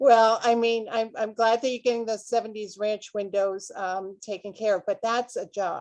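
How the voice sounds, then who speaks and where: In a Boston accent, a woman speaks at a moderate pace with hardly any pauses. Her fairly high voice is flat and monotone, and the background is quiet. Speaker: author hosting a book launch party. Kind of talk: casual live-streamed interview. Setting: video call.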